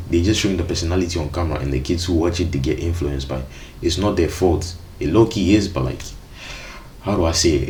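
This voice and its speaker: A man's very deep, low voice at a very fast pace with ordinary pitch variation, amid audible room echo and noticeable background noise. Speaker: streamer reacting to videos. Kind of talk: reaction commentary. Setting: live stream. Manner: casual slangy.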